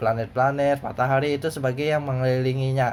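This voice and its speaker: Audible room echo surrounds a man speaking with a South Kalimantan accent. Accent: Banjar. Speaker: teacher. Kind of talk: lecture. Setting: recorded at night. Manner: halting; casual.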